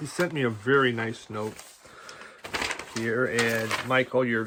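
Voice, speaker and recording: Over noticeable background noise, a man with an American accent speaks at a medium pitch and a fairly slow pace, with ordinary pitch variation. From US Midwest (Nebraska). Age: 60s. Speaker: record collector YouTuber. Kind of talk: casual chat. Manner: animated.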